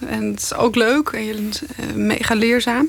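A woman speaks over noticeable background noise. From Netherlands, Zeeland. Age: 30s. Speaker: investigative journalist. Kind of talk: interview.

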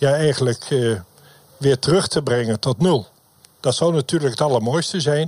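In a dry, close recording with no echo, a man with a fairly high, somewhat breathy voice speaks at a moderate pace with ordinary pitch variation, very even loudness, and long, frequent pauses. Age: 70s. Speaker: former alderman and lay pastor. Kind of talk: live debate. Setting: radio bus on location.

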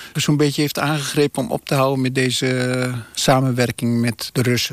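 Speaking at a moderate pace with fairly even intonation, a man of medium pitch has an unremarkable speaking voice. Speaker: family member of host. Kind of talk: casual reminiscing. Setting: on location at old family house.

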